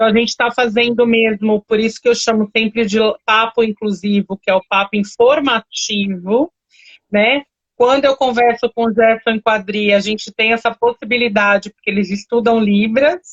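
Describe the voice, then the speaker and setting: In a plain, everyday voice, a woman speaks at a moderate pace, fairly high in pitch with fairly even intonation and very even loudness. The sound is dry and close, with no echo. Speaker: live stream host. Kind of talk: casual chat.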